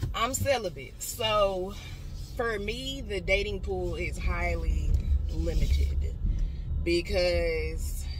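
At a very slow pace and with long, frequent pauses, the voice shows ordinary pitch variation amid clear background noise and audible room echo. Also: woman.

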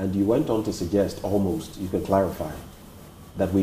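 A man speaks at a fairly quick pace in a fairly low, somewhat breathy voice with a dark, mellow tone, with audible room echo and light background noise. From Ghana. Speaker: TV interviewer. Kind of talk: interview. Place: home room.

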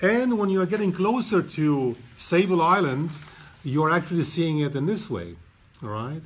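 Lively intonation and a high pitch for a man mark this male voice, delivered at a moderate pace. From Romania. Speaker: photographer. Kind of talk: live presentation. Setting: gallery. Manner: halting.

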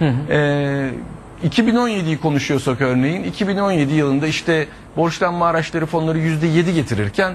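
Lively intonation carries through fairly slow speech over light background noise. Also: man. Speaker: guest. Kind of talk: interview answer. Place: studio. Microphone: lapel.

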